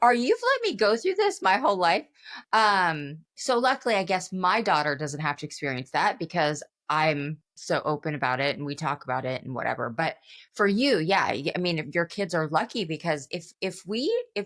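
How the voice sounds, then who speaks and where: A woman with a normal speaking voice talks at a moderate pace, her fairly low pitch carried by lively intonation. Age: 40s. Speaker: podcast co-host. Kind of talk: podcast interview, casual chat. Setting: remote video call.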